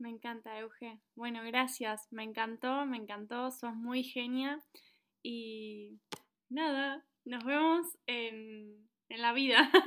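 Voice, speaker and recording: A woman with a Rioplatense accent speaks very slowly, her high voice bright and sharp in tone. Her intonation stays fairly even while her loudness swings widely. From Argentina. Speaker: podcast host. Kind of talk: podcast interview.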